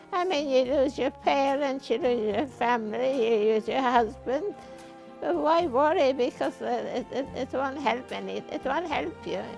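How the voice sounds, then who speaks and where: Over music in the background, a woman with a high pitch talks at a fairly slow pace with lively intonation. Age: 80s+. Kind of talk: interview answer.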